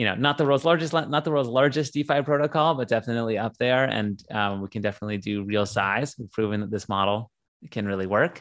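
A man's medium-pitched voice with a General American accent, ordinary pitch variation and a very fast pace against a quiet background. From US West Coast, San Diego. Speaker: tech company CEO. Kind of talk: interview.

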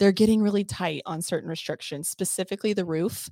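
In a dry, close sound with no echo, a woman speaks at a very fast pace with fairly even intonation. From Texas. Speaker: real estate agent. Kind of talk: casual chat.

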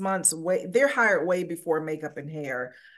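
Lively intonation from a woman at a medium pitch, moderate pace, quiet background. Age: 60s. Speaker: makeup designer. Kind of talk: interview. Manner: hesitant, many fillers.

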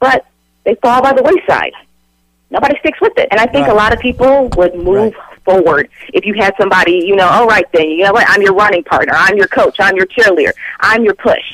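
Speaking at a fairly quick pace, a woman with an ordinary speaking voice uses a fairly high pitch and lively intonation. The sound is dry and close, with no echo. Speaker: certified life coach. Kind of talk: radio interview, motivational talk. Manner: warm, upbeat, motivating.

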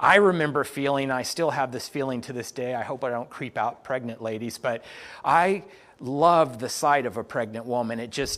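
A man's medium-pitched, an unremarkable speaking voice. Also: very clean recording, silent background. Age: 50s. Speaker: pastor. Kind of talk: sermon.

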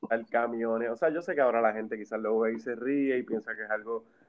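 A man at a fairly quick pace. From Puerto Rico. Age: 30s. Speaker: film enthusiast and former music manager. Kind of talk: casual chat. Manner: animated.

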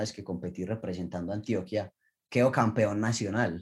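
A man with a plain, everyday voice, fairly low pitch and a fairly quick pace. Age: 20s. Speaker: Olympic diver. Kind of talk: interview.

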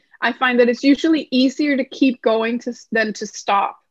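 Speaking in a Danish accent at a moderate pace, a woman keeps a high pitch and fairly even intonation. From Denmark. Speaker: numerologist and writer. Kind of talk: interview conversation.

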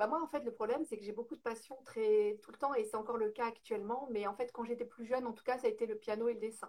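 Racing at a very fast pace, a woman speaks in a fairly high pitch with big swings in loudness. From northern France, Lille. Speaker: home organizing entrepreneur. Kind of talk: interview.

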